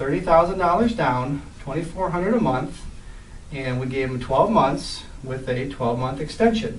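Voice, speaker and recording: Amid noticeable background noise and audible room echo, a man speaks at a fairly quick pace with a fairly high pitch. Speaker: real estate investor and trainer. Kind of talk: deal walkthrough presentation. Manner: fast.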